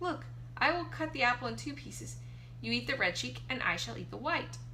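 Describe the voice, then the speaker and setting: A woman performs in a put-on character voice. Clear background noise is present. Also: fairly quick pace. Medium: read story. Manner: falsely friendly, coaxing.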